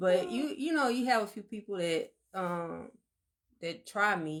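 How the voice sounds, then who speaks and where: A woman at a fairly slow pace, her intonation lively. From Alabama. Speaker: podcast co-host. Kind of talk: casual chat. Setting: livestream.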